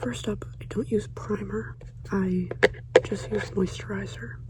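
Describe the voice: A woman with a medium pitch speaks at a fairly slow pace, her intonation fairly even.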